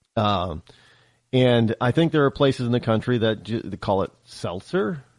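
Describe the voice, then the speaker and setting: A man with an American accent and a medium pitch talks at a moderate pace with lively intonation, the sound dry and close with no echo against a quiet background. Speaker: talk radio host. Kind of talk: talk radio monologue. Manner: casual, halting with self-corrections.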